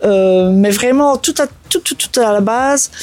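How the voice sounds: A woman speaks at a fairly slow pace, her fairly high pitch carrying a slightly mellow tone. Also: ordinary pitch variation.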